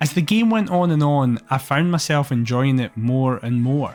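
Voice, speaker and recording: Music plays in the background as someone speaks at a moderate pace with a Scottish accent. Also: man. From Scotland. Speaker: streamer. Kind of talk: video essay commentary. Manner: enthusiastic.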